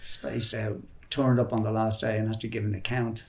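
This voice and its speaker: Speaking in a Dublin accent, a man keeps a medium pitch and fairly even intonation at a moderate pace. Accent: Dublin Irish. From Dublin, Ireland (Ringsend). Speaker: artist and musician. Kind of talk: interview, life story. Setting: in his flat.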